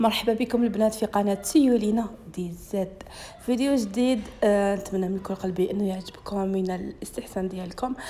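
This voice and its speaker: A woman's fairly high pitch at a moderate pace, fairly even in intonation, with noticeable background noise. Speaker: cooking YouTuber. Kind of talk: cooking tutorial.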